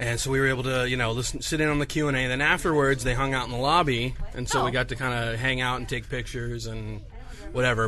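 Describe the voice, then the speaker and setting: Talking at a very fast pace, a man keeps a medium pitch and fairly even intonation. Background noise is noticeable. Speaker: podcast host. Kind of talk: casual chat. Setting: in-store studio recording.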